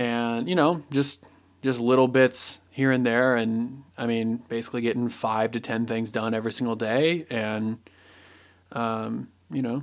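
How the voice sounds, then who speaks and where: Speaking at a moderate pace with an American accent, a man uses a medium pitch and monotone, flat intonation on a very clean recording with a silent background. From Indiana. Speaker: podcast host. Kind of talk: casual chat.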